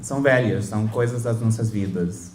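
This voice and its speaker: The speaker is a man with a non-native accent. There is audible room echo around his voice. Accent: foreign accent in Portuguese. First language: English (speaking Portuguese). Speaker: professor. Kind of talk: lecture. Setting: lecture hall with audience. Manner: halting, with self-corrections and fillers.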